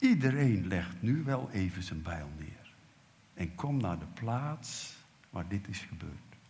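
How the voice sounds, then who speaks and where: Somewhat breathy and fairly low, a man's voice moves very slowly with very wide pitch swings. Audible room echo lingers around him. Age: 70s. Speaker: preacher. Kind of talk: sermon.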